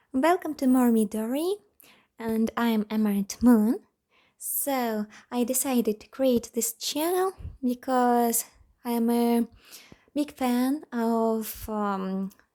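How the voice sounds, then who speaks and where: A woman with a non-native accent, high-pitched with a dark, mellow tone, very slow with long, frequent pauses, big swings in loudness and ordinary pitch variation, on a very clean recording with a silent background. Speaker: language learning youtuber. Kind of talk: tutorial. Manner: halting.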